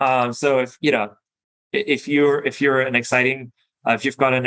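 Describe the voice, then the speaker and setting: Speaking with a German accent, a man has a bright, sharp tone, a medium pitch and a moderate pace. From Germany, Berlin. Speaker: venture capital investor. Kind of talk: interview; business presentation. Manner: halting, many fillers.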